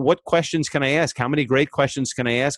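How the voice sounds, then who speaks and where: A man with a normal speaking voice talks at a fairly quick pace. The sound is dry and close with no echo, and his pitch variation is ordinary. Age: 50s. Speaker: podcast producer and former mobile DJ. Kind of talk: interview.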